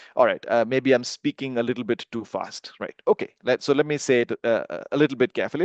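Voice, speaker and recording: A man with a fairly high pitch and a dry, close sound with no echo. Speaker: course instructor. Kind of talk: live online lecture. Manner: fast when excited; many filler words and hesitations.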